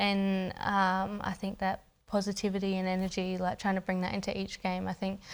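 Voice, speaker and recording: Over a silent background in a very clean recording, a woman with an Australian accent talks at a moderate pace in a medium pitch with monotone, flat intonation. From Australia, Adelaide. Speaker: professional footballer. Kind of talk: interview. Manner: halting.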